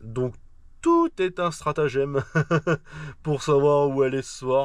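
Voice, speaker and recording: A man's fairly high voice at a very slow pace, fairly even in intonation, with big swings in loudness. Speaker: truck driver vlogger. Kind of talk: casual vlog talk. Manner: hesitant, many fillers.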